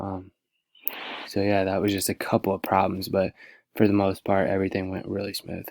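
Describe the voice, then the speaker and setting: Soft-spoken and fairly low in pitch, a man talks at a fairly quick pace in a monotone, flat intonation. The recording is very clean with a silent background and a dry, close sound with no echo. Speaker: student teacher. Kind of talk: class presentation. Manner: halting.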